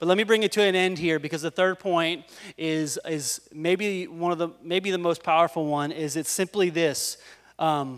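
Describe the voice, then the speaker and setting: A man's high voice at a moderate pace, fairly even in intonation, over a quiet background. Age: 40s. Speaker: pastor. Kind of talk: sermon. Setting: church. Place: stage. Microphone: handheld.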